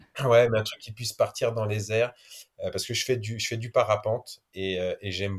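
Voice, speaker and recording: A man with a fairly low pitch and a somewhat breathy voice speaks with fairly even intonation in a very clean recording with a silent background. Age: 30s. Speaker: adventurer, explorer. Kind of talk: interview, casual storytelling. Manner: hesitant, repeats words.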